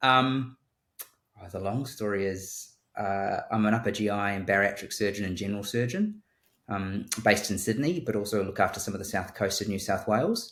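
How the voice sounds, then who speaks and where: A man's fairly low voice in a New Zealand accent, with fairly even intonation. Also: moderate pace. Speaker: surgeon. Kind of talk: interview. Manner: halting.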